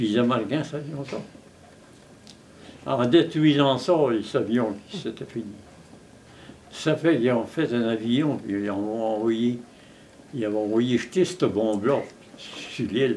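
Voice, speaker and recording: A man talks at a very slow pace and a medium pitch, with ordinary pitch variation. Long, frequent pauses break up his speech. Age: 80s+. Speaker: war veteran. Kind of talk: interview answer. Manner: storytelling, hesitant.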